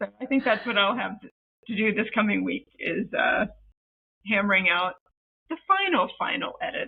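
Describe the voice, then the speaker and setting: A woman with an American accent, fairly high pitch, lively intonation, moderate pace, and long, frequent pauses. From United States. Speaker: co-writing author. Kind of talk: podcast interview. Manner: hesitant, many fillers.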